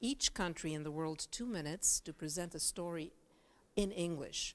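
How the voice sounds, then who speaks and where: In a very clean recording with a silent background, a woman talks at a moderate pace in a fairly low pitch. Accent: Bulgarian. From Bulgaria. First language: Bulgarian. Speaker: journalist and news anchor. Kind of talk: talk to students. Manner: casual, with many fillers.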